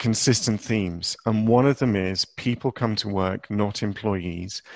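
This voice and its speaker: This man has a plain, everyday voice at a medium pitch. He talks at a fairly slow pace. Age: 40s. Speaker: podcast host. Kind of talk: casual chat. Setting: remote call from a cupboard.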